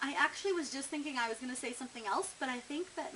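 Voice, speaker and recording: Noticeable background noise runs under a woman talking at a very fast pace. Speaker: vlogger. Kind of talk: casual vlog, tag questions. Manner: chatty, with filler words.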